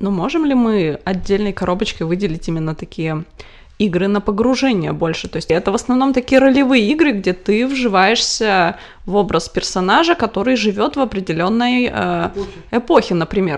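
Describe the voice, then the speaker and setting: This woman has an ordinary speaking voice at a medium pitch. She talks at a fairly quick pace. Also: lively intonation. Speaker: podcast co-host. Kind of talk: casual chat.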